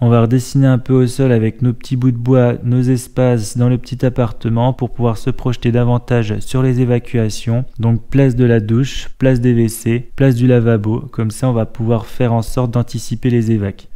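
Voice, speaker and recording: Against a quiet background, a man speaks at a moderate pace with a dark, mellow tone, very even loudness and monotone, flat intonation. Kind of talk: tutorial. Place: empty room. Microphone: camera far.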